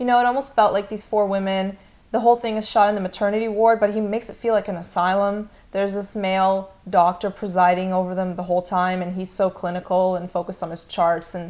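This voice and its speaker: Speaking at a very fast pace, a woman keeps her intonation fairly even. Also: medium pitch for a woman. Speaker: film discussion co-host. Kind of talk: casual film discussion. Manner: halting, hesitant.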